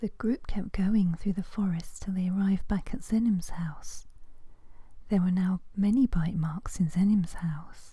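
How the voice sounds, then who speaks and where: Soft-spoken whispering at a fairly slow pace. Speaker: ASMR storyteller. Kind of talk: soft-spoken bedtime story narration. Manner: soft-spoken, whispery, relaxing.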